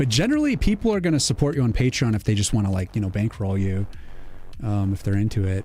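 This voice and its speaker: A dark, mellow, somewhat breathy voice in an American accent, at a very fast pace with ordinary pitch variation. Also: man, fairly low pitch for a man. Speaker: game developer and pixel artist streamer. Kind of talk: casual live stream chat. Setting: live stream. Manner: casual, filler-heavy.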